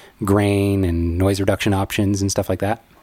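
A man's ordinary speaking voice, fairly low in pitch, at a moderate pace, in a very clean recording with a silent background and a dry, close sound with no echo. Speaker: wedding photographer and podcast host. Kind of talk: casual chat.

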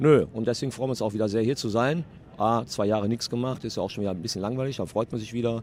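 Words come very fast from this man. His medium pitch varies in an ordinary way. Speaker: game studio co-founder. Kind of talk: trade fair interview. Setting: noisy exhibition hall.

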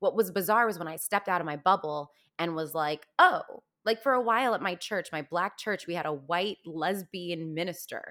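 On a very clean recording with a silent background, a woman talks at a moderate pace in a fairly low pitch. She has an unremarkable speaking voice with ordinary pitch variation. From Virginia, US (Fairfax County), high school in Los Angeles. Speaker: Broadway actress and singer. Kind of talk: casual interview.

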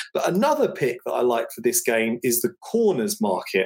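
With a London accent, a man talks at a fairly quick pace. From England, North London. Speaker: football betting analyst. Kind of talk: sports betting analysis.

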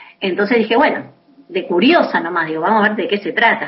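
A woman speaks in a plain, everyday voice at a medium pitch. Her pace is moderate and her intonation lively. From Buenos Aires, Argentina. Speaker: singer-songwriter. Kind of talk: interview. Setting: phone call.

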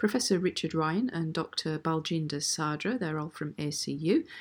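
In a normal speaking voice, a woman with fairly low pitch speaks at a moderate pace with ordinary pitch variation, on a very clean recording with a silent background. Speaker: podcast host. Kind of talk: interview.

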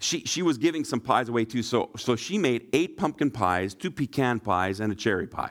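Very wide pitch swings mark a man's western Canadian accent as he speaks at a moderate pace in a very clean recording with a silent background. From Shuswap region, British Columbia, Canada. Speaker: pastor. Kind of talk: sermon.

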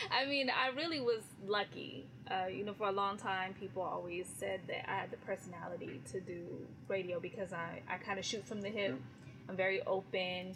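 With an American accent, a woman speaks at a moderate pace and medium pitch with lively intonation over noticeable background noise. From California. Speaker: radio personality. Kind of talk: casual interview chat.

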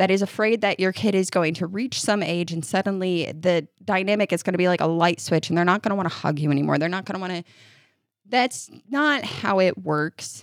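Recorded very cleanly with a silent background, a woman with an American accent speaks at a fairly quick pace in a plain, everyday voice, medium in pitch with ordinary pitch variation. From upstate New York. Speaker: podcast co-host, mother. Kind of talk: casual chat.

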